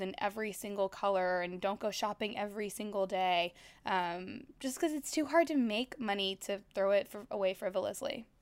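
A woman with an American accent speaks in an ordinary speaking voice. Her pitch is fairly high, with ordinary pitch variation. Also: very clean recording, silent background. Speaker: finance author. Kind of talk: interview.

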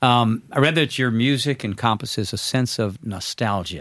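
Moderate pace and ordinary pitch variation from a man with an unremarkable speaking voice, pitched in the medium range. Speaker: podcast host. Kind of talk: casual interview.

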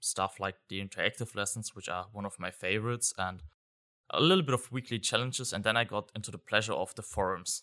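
A man with a German accent speaks at a very fast pace with fairly even intonation and a bright, sharp tone, on a very clean, silent-background recording whose sound is dry and close with no echo. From Germany. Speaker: software consultant. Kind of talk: interview. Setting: live event venue.

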